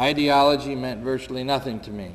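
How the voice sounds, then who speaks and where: An American-accented man at medium pitch, fairly quick and fairly even in intonation, amid noticeable background noise. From upstate New York. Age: 60s. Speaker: war veteran and peace activist. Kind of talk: public talk. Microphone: too quiet at first, volume raised.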